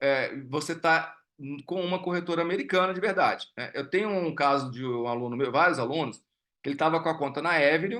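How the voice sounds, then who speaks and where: Against a quiet background, a man with a fairly high, bright, sharp voice talks at a fairly quick pace. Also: ordinary pitch variation. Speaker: investment educator. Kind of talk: live online class with Q&A. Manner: halting, many fillers and repetitions.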